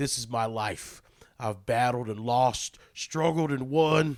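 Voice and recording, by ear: A man's put-on character voice, medium in pitch and fairly slow.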